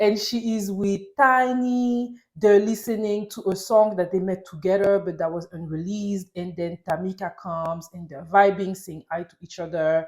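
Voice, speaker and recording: A woman with a French accent speaks at a medium pitch with ordinary pitch variation and hardly any pauses. Her tone is animated, and her loudness swings widely. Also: moderate pace. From France (Paris). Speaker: TV recap YouTuber. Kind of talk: casual TV recap monologue.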